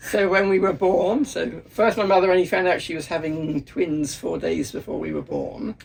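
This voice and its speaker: A man's high voice with lively intonation at a moderate pace, over noticeable background noise. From England. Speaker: history professor. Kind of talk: casual interview. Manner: halting, many fillers.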